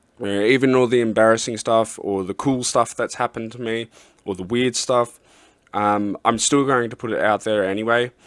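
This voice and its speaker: A man with an Australian accent speaks at a moderate pace in a monotone, flat intonation. The sound is dry and close, with no echo. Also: medium pitch for a man. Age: adult. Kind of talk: testimony. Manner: halting, many fillers.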